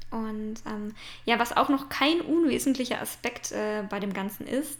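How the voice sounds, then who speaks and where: Pitched fairly high, a woman talks with ordinary pitch movement at a moderate speed. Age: 20s. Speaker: podcast host and branding photographer. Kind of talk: casual monologue. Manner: hesitant fillers.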